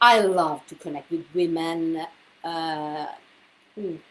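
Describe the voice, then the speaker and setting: A woman talks with an Italian accent at a medium pitch. Her pace is very slow. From Italy. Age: 50s. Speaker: women's health coach and author. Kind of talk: live video talk. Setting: livestream from computer. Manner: halting, many fillers.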